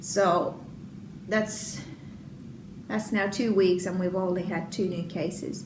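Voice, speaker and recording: With a Finnish accent, a woman speaks at a medium pitch and a fairly slow pace amid noticeable background noise and audible room echo. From Finland. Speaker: knitting and crochet podcaster. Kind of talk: casual podcast chat. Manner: hesitant, many fillers.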